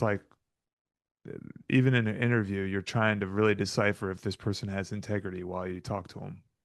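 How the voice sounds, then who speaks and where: Against a quiet background, a man speaks at a moderate pace with an American accent. His pitch is fairly low and his intonation fairly even. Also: long, frequent pauses. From Florida, Tampa. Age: 40s. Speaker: financial educator, real estate investor. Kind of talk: interview conversation. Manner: halting.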